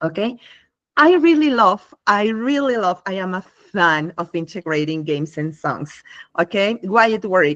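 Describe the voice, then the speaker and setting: With a non-native accent, a woman speaks at a medium pitch, her voice making very wide pitch swings. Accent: non-native English speaker. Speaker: English teacher and workshop presenter. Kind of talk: live online workshop. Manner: hesitant, with fillers.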